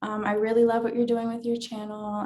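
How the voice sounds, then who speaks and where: A woman speaks with an American accent. Her voice sits fairly high. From US East Coast. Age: 20s. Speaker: domestic violence survivor. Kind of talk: interview testimony. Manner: hesitant, many fillers.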